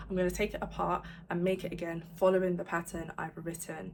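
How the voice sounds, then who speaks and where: Somewhat breathy, a woman with a fairly low pitch talks at a fairly quick pace in a monotone, flat intonation. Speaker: crochet vlogger and pattern designer. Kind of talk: casual vlog talking to camera.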